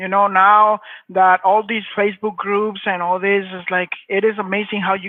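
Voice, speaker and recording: Speaking in a flat monotone, a man with a strong Mexican accent uses a high pitch. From Mexico. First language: Spanish. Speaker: hardscape business owner. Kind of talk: interview.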